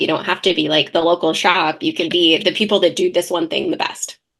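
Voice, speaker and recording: A woman speaks in an animated tone. Her pace is fairly quick. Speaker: CPA firm owner. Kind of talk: podcast interview. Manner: loud.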